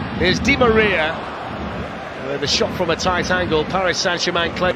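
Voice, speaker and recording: A man with a high pitch speaks in an animated tone, hardly pausing, while noticeable background noise runs underneath. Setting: broadcast commentary over match footage. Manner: animated, rapid play-by-play delivery.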